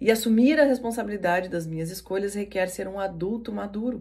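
At a moderate pace, a woman talks in a medium-pitched, somewhat breathy voice. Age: 40s. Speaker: NLP coach and podcast host. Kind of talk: motivational talk.

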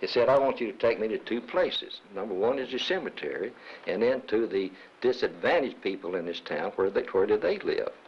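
Fairly quick male talker in a Southern US accent. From Arkansas. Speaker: retired businessman, former chamber of commerce president. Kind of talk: interview.

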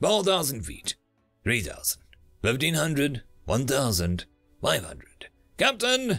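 Over faint music in the background, a man uses a put-on character voice with vocal fry and a fairly bright tone, speaking at a slow pace with very wide pitch swings. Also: medium pitch for a man.

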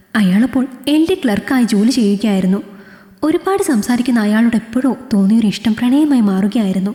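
What we hear is a natural reading voice.

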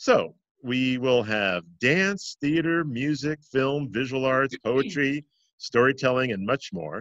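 Against a quiet background, a man speaks with lively intonation in a dry sound with no echo. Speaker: interview host. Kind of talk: host introduction. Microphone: webcam.

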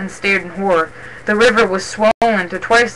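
The intonation stays fairly even as someone reads in a natural voice.

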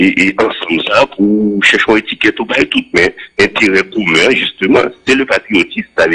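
Background sound is quiet. A man talks at a moderate pace. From Haiti. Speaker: former senator. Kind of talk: radio interview. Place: studio. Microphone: studio mic.

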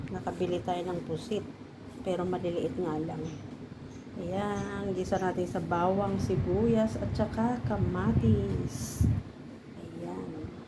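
A woman's very deep, low pitch with very wide pitch swings, at a very slow pace, amid noticeable background noise and audible room echo. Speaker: cooking vlogger. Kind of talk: cooking tutorial.

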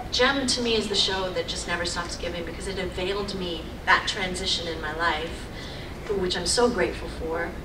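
Moderately paced speech from a woman, ordinary pitch variation, noticeable noise in the background. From England. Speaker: voice actress and singer. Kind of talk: convention panel Q&A. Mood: grateful, warm. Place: meeting room. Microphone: podium.

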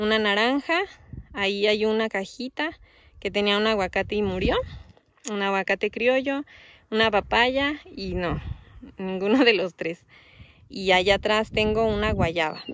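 Against a quiet background, a woman speaks at a fairly slow pace with ordinary pitch variation and long, frequent pauses. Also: dry sound with no echo. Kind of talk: casual vlog chat. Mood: relaxed, explanatory. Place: open country. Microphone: phone near.

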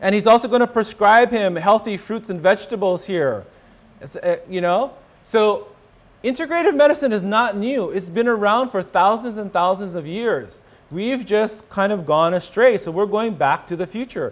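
Here a man talks at a moderate pace in a high-pitched voice. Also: ordinary pitch variation. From Hawaii. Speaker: rheumatologist; presenter. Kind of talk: lecture. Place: hall. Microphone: podium.

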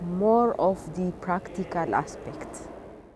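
Speaking at a very slow pace, a woman shows ordinary pitch variation in a dry sound with no echo, with noticeable background noise. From Ethiopia. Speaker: government plant health expert. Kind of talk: interview. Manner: halting, with fillers. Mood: calm, earnest. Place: street. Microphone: lapel.

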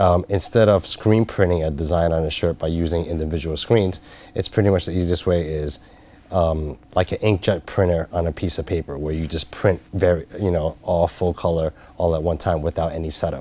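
Dry with no echo, the recording has a man speaking fairly quickly at a very deep, low pitch, in a dark, mellow tone with fairly even intonation. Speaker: business consultant. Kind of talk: interview. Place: studio. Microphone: lapel.

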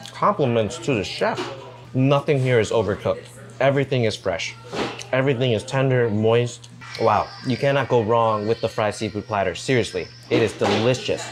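A man talks at a moderate pace with fairly even intonation. Clear music plays in the background. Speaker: food travel vlogger. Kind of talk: casual vlog chat. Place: cafe. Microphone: camera far.

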